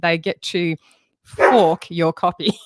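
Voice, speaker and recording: This woman speaks with an Australian accent. The sound is dry with no echo, over a quiet background. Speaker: music education trainer. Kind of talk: webinar tutorial. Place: home room. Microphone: studio mic.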